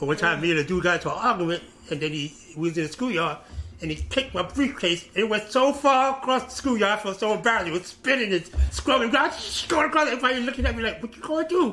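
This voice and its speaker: A raised, projected voice races along very fast with very wide pitch swings over light background noise. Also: man. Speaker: interviewee. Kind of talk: interview answer. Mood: animated, laughing storytelling. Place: office.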